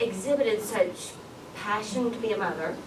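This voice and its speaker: A woman speaks at a moderate pace in a strong Southern US accent, her intonation lively, with noticeable background noise and audible room echo. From US South. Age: 30s. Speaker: public policy coordinator and conference speaker. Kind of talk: conference talk.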